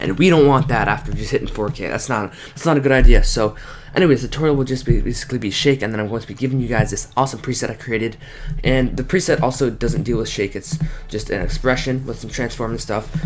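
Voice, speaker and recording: A man at a medium pitch with ordinary pitch variation, talking at a very fast pace over noticeable background noise. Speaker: video editing tutorial YouTuber. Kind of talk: screen-recorded tutorial. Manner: casual, filler-heavy.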